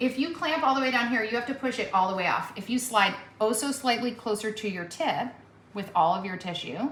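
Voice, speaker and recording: A woman's fairly high, upbeat voice at a fairly quick pace, with audible room echo and noticeable background noise. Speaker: veterinarian. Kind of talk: hands-on surgical teaching. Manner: loud; encouraging, upbeat.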